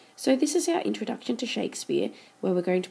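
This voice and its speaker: A woman speaks with vocal fry. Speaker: teacher. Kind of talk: lecture.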